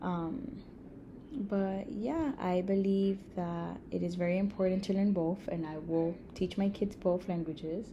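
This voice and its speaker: A woman's dark, mellow, somewhat breathy voice at medium pitch and a fairly slow pace. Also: ordinary pitch variation. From Miami, Florida (Cuban-Nicaraguan family). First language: Spanish. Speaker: emergency room nurse. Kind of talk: class presentation. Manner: casual, many fillers.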